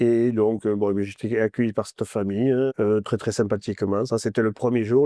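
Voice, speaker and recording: The man's voice has a dark, mellow tone and monotone, flat intonation. The sound is dry and close, with no echo. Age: 60s. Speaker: retired long-distance walker. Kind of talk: interview. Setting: studio. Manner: halting, many repetitions and fillers.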